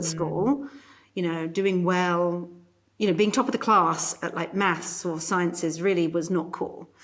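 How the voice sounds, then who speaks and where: A woman speaks with a British accent at a fairly slow pace. Her pitch is fairly low, with ordinary variation. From UK. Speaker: corporate psychologist and keynote speaker. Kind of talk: interview answer.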